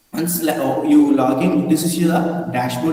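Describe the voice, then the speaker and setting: Over noticeable background noise and audible room echo, a man with a fairly high pitch speaks at a moderate pace with ordinary pitch variation. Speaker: university lecturer, resource person at online faculty programme. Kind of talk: online lecture / software tutorial. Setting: online video session.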